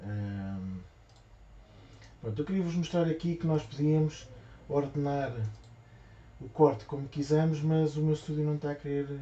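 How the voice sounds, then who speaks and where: A soft-spoken man with a fairly high pitch, a moderate pace, ordinary pitch variation, and long, frequent pauses. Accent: European Portuguese. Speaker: craft shop owner. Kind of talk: live tutorial. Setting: livestream. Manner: halting.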